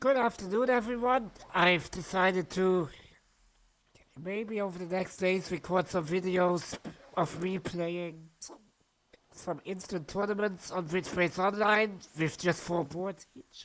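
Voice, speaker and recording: A woman's medium-pitched voice in a non-native accent, fairly slow, with ordinary pitch variation and long, frequent pauses. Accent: non-native English accent, noticeable. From Germany. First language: German. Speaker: amateur bridge player, video creator. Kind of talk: gameplay commentary. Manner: halting, with false starts.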